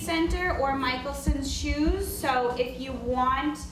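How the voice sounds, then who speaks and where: A loud woman speaks at a very slow pace with a high pitch and ordinary pitch variation. Audible room echo and noticeable background noise fill the recording. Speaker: veteran services officer. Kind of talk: announcements.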